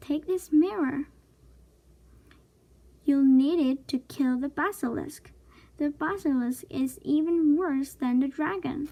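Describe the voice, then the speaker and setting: Putting on a squeaky character voice pitched high, a woman speaks at a fairly slow pace with long, frequent pauses. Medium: read story. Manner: nervous, eager.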